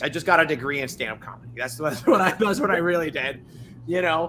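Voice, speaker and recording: A man's fairly high voice races along very fast, his intonation lively, while noticeable noise runs in the background. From Dominican Republic. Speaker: tech startup founder. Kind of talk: podcast interview.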